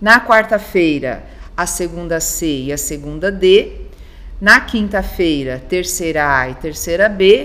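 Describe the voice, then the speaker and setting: In an unremarkable speaking voice, a woman talks fairly slowly with lively intonation. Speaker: school coordinator. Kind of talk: informational interview.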